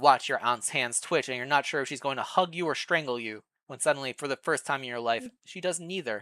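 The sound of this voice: Against a quiet background, the passage is delivered in an unforced reading voice.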